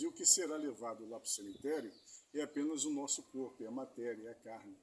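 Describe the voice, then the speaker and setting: At a moderate pace, a man talks in a normal speaking voice with a medium pitch and ordinary pitch variation. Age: 50s. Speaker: street evangelist. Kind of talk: evangelistic conversation.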